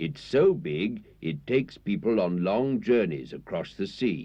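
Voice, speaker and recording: Vocal fry colors the man's fairly slow speech. His pitch moves in very wide swings. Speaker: newsreader and narrator. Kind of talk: children's TV narration.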